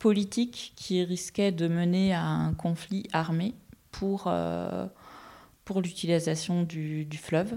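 A woman speaks very slowly at a fairly low pitch, with a dark, mellow tone and fairly even intonation. The recording is very clean, with a silent background. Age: 40s. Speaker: environmental inspector and ecologist. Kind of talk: interview.

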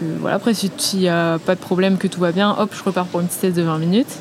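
The speech moves at a fairly quick clip while noticeable background noise plays behind it. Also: woman. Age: 20s. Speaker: offshore sailor. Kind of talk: interview. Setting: studio. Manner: hesitant.

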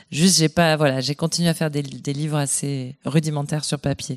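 A woman with a very deep, low voice speaks at a fairly quick pace in a flat monotone, with hardly any pauses, recorded dry and close with no echo on a very clean track with a silent background. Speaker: novelist. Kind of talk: panel discussion. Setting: stage with audience.

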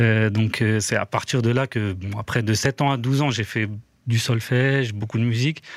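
Heard on a very clean recording with a silent background, a plain, everyday voice speaks at a fairly slow pace with fairly even intonation. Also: man, medium pitch for a man. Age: 40s. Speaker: music producer and manager. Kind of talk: casual chat.

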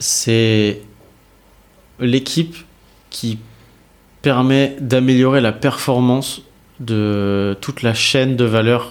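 At a very slow pace, a man speaks with medium pitch and fairly even intonation. Long, frequent pauses break up his speech. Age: 30s. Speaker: revenue operations manager. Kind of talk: casual interview.

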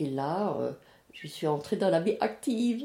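In a very clean recording with a silent background, a woman speaks at a very slow pace in a fairly low pitch, her dark, mellow tone marked by vocal fry and very wide pitch swings. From France, Alsace (Strasbourg). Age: 80s+. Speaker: retiree sharing life story. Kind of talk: life story interview. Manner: halting.

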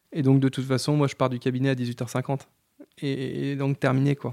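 This is a very clean recording with a silent background. A man talks at a moderate pace. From Vendée, western France (Les Sables-d'Olonne). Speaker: chartered accountant, firm owner. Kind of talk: casual interview. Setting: in person. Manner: hesitant, many fillers and repetitions.

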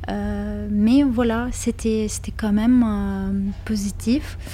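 In a Lithuanian accent, the voice comes through over noticeable background noise. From Lithuania, Kaunas. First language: Lithuanian (speaking French). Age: 30s. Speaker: interviewee sharing life story. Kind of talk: personal testimony interview. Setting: hotel lounge in Paris. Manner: hesitant, many fillers and repetitions.

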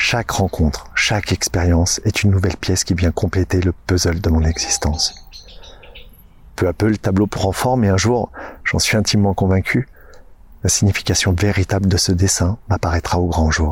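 Somewhat breathy and very deep, a man's low voice holds a very even loudness and fairly even intonation. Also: moderate pace. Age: 40s. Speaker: podcast host and nature guide. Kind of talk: scripted narration.

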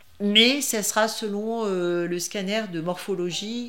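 Fairly even intonation from a woman, with noticeable background noise and audible room echo. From France, Grenoble area. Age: 60s. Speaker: breast cancer patient. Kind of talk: testimony. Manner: halting, many repetitions and hesitations.

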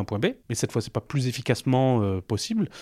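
A man talks at a very fast pace in a dark, mellow tone. The recording is very clean with a silent background, and the sound is dry and close with no echo. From Roubaix, northern France. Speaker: founder of a parkour association. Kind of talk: interview. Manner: halting.

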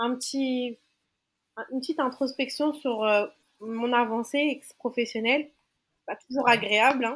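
The speech goes at a fairly slow pace, broken by long, frequent pauses. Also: woman, high pitch for a woman. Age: 30s. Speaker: makeup artist. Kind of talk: casual interview chat.

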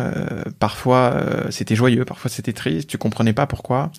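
Speaking at a medium pitch, a man keeps a moderate pace with ordinary pitch variation. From Paris region, France. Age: 20s. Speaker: mental health startup founder. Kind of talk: casual interview conversation. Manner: hesitant, many fillers and repetitions.

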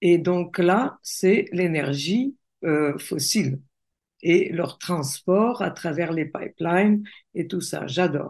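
A woman's fairly low voice in a Russian accent, at a very slow pace with ordinary pitch variation. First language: Russian (speaking French). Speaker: coach and entrepreneur. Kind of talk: interview conversation.

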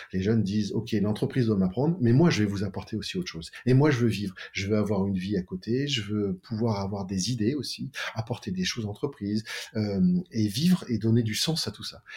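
A man talks at a fairly quick pace, his voice somewhat breathy with a dark, mellow tone. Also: ordinary pitch variation. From France, Tours (Touraine). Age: 50s. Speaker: optician business co-founder. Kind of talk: interview. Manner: halting.

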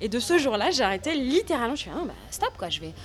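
A woman talks fairly quickly, with noticeable background noise behind her. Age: 30s. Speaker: actress and former literature teacher. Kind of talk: interview testimony.

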